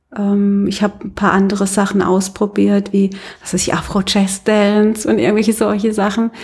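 Moderate pace, with monotone, flat intonation. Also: woman, medium pitch for a woman. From Baden, Karlsruhe. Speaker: yoga teacher and studio owner. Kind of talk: interview, casual chat. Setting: in her yoga studio.

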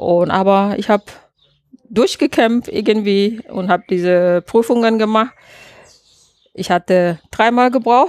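Speaking with a Malaysian accent, a woman uses a fairly high pitch and ordinary pitch variation at a very slow pace. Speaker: landscape architect and caterer. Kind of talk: interview. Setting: outdoors in a garden. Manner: hesitant, frequent fillers.

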